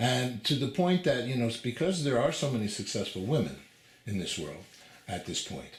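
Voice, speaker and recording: Audible room echo surrounds a man speaking at a fairly quick pace and medium pitch. His voice shows vocal fry and very wide pitch swings. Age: 60s. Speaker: TV interviewer. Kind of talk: interview conversation. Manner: halting, many fillers.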